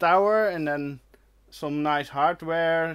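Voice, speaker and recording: With a Dutch accent, a man speaks at a high pitch with ordinary pitch variation and a fairly slow pace. The recording is very clean, with a silent background. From Netherlands. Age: 30s. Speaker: retro computing YouTuber. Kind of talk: live stream chat reading comments. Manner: hesitant, many fillers.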